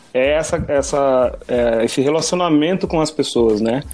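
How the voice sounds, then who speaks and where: With music in the background, a man with a fairly high pitch speaks at a moderate pace and ordinary pitch variation. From Brazil, Piedade (São Paulo state). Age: 30s. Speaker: project management engineer. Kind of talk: casual chat.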